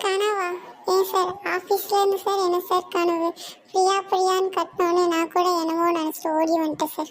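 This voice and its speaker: A woman's cartoonish character voice, extremely high, monotone and flat, at a fairly slow pace and very even loudness. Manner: excitable, chatty.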